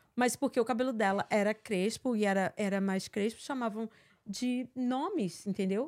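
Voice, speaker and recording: In a normal speaking voice, a woman talks at a moderate pace with a fairly high pitch, ordinary pitch variation and very even loudness, on a very clean recording with a silent background and a dry, close sound with no echo. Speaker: online content creator. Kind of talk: casual chat.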